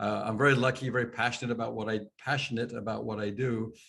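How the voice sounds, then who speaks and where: A man with a slight English accent talks at a fairly quick pace in a medium pitch. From England, London. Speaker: sales coach and trainer. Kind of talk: webinar presentation. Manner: loud; fast.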